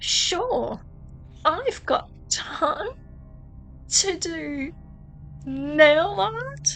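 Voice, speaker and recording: A woman puts on a character voice and speaks very slowly with long, frequent pauses over clear background noise. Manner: through gritted teeth, forced politeness.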